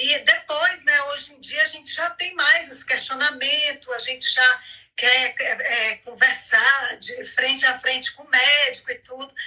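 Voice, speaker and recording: A woman's high, raised, projected voice, fairly slow, with big swings in loudness. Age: 50s. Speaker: women's health advocate. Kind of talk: live video chat.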